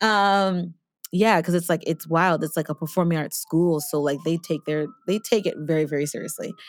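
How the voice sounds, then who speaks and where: On a very clean recording with a silent background, a woman with a plain, everyday voice and an American accent speaks at a moderate pace, fairly low in pitch, with fairly even intonation. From New York City. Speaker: singer and voice teacher. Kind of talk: casual chat.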